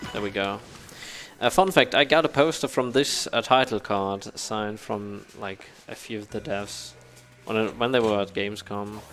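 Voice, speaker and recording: A man with a German accent talks in a fairly low pitch with ordinary pitch variation. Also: moderate pace. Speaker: speedrunner. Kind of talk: live gameplay commentary. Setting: live event stage with couch audience. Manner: halting, many fillers and restarts.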